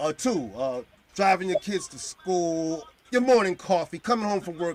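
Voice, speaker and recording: A man speaks with an animated tone and lively intonation, his high voice swinging widely in loudness. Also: moderate pace. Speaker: podcast host. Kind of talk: casual chat.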